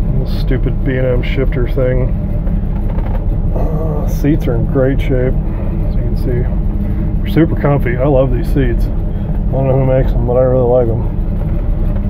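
Loud background noise accompanies speech at a fairly slow pace. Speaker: car seller. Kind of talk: casual walkaround commentary. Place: car. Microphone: phone near.

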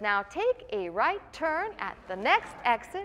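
A woman's put-on, robotic character voice, high in pitch with very wide pitch swings, at a fairly slow pace over clear background noise. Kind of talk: sermon.

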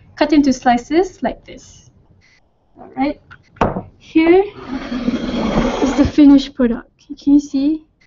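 A woman speaks at a very slow pace in a high voice, with long, frequent pauses. Her pitch varies in an ordinary way, her loudness swings widely, and background noise is noticeable. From Malaysia. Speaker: cooking show presenter. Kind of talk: cooking tutorial. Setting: studio. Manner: animated. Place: kitchen.

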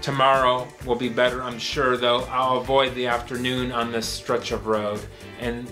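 Clear music plays behind a man as he speaks. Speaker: poet. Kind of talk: poetry reading. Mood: weary, melancholic, wry. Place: home room.

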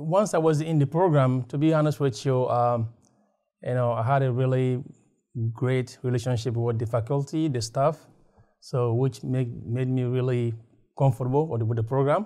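A man's medium-pitched, dark, mellow voice at a moderate pace, with ordinary pitch variation and a quiet background. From West Africa. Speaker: graduate student alumnus. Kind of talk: testimonial interview. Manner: halting, many fillers. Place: meeting room. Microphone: lapel.

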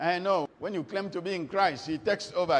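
The pace is moderate. It is a man talking. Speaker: preacher. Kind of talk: sermon.

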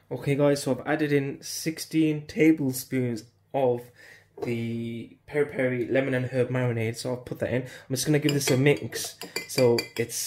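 The speech moves at a moderate pace with fairly even intonation. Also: man. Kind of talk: tutorial. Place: kitchen.

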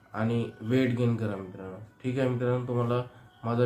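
A man's voice at medium pitch, monotone with flat intonation, amid noticeable background noise. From Maharashtra, Chandrapur. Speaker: veterinary practitioner. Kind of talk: tutorial.

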